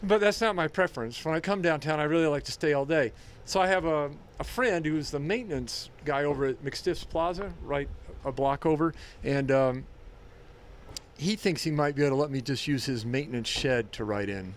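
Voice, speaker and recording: Speaking in an unremarkable speaking voice, a man pitched fairly high uses lively intonation. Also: moderate pace. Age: 60s. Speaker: writer. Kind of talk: casual chat.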